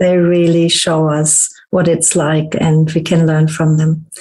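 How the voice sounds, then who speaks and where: The tone is dark and mellow, and somewhat breathy. Delivery comes at a fairly slow pace. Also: woman. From Germany. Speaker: podcast host and holistic therapist. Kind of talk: casual interview chat.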